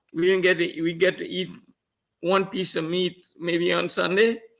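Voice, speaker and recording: The man speaks at a high pitch and a fairly slow pace. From Trinidad and Tobago. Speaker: trainer. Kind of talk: interview. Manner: halting, repeating words.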